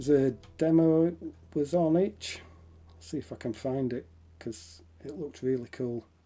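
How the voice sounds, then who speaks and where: A man speaks with a Yorkshire accent at a moderate pace. His pauses are long and frequent. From Yorkshire, northern England. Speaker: indie game developer streamer. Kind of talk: live stream commentary while working. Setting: live stream. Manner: casual, conversational. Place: home room.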